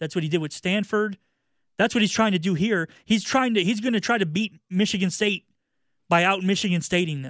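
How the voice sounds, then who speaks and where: On a very clean recording with a silent background, a man's high voice sounds dry and close, with no echo. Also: ordinary pitch variation, fairly quick pace. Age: 30s. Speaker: sports radio co-host. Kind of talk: sports talk radio.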